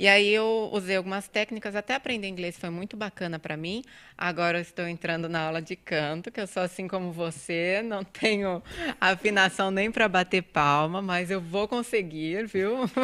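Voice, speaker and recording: In a countryside Brazilian accent, a woman speaks at a moderate pace with a medium pitch and ordinary pitch variation. Her tone is bright and sharp, and the recording is very clean with a silent background. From Brazil, interior. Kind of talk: conversational.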